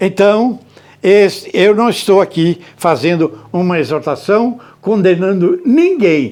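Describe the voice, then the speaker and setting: Lively intonation marks a man with a high pitch who speaks at a fairly slow pace. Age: 90s. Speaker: pastor. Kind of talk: sermon. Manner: halting, with many fillers.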